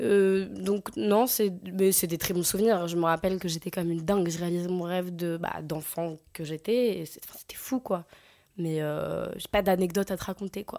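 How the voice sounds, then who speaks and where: In a very clean recording with a silent background, a woman with a dark, mellow tone speaks at a moderate pace, her pitch fairly low and her intonation fairly even. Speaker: actress. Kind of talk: casual interview.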